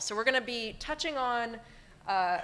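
With a bright, sharp tone, a woman speaks at a moderate pace. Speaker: panel moderator. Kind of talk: panel introduction. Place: hall. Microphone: podium.

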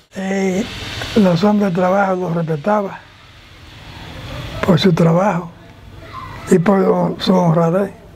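A man talks in a high pitch with monotone, flat intonation over light background noise. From Dominican Republic. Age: 80s+. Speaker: retired police officer. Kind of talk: interview answer. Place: street. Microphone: lapel.

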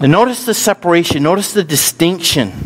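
Speaking with an American accent, a man's voice moves in very wide pitch swings. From US North. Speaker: pastor. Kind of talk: sermon. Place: church.

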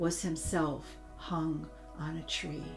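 Clear music in the background behind a woman speaking. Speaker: teacher. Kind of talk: teaching talk. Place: home room.

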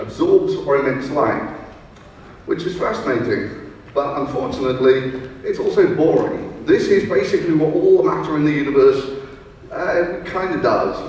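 A man talks at a moderate pace. Strong room echo surrounds his voice. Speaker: presenter. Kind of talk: lecture. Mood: playful, humorous. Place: hall.

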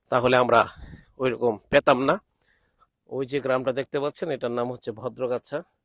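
A man of medium pitch with an ordinary speaking voice and fairly even intonation, in a dry, close sound with no echo. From Bangladesh, Brahmanbaria (Nabinagar). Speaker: vlogger and Islamic cleric. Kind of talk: travel vlog narration. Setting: outdoors in rice fields.

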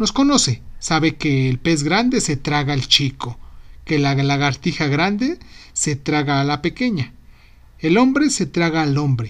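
A warm tone comes through at a fairly slow pace on a very clean recording with a silent background. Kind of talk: literary poem reading, read aloud with a gentle, playful, reflective tone. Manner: warm, unhurried, intimate and tender, with light humor and affectionate irony.

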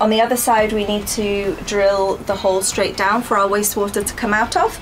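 A woman at a moderate pace, with faint music in the background. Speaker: van build vlogger. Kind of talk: casual vlog chat. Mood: excited. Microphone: camera far.

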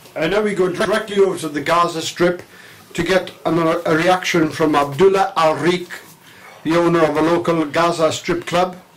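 Noticeable background noise sits behind a man speaking at a high pitch and a moderate pace. His intonation is monotone and flat. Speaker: parody field reporter. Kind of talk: comedic parody news report.

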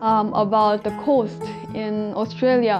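Clear music plays behind a woman as she talks. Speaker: vlog co-host. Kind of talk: casual vlog chat. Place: home room. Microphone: lapel.

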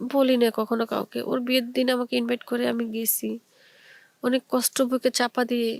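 A woman's high-pitched, monotone voice with flat intonation, dry and close with no echo. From Bangladesh, Chittagong. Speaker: storyteller. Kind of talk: personal story monologue.

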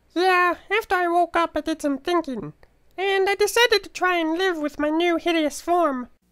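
The pace here is moderate. It comes in a put-on character voice pitched extremely high. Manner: melodramatic, self-pitying but cheerful.

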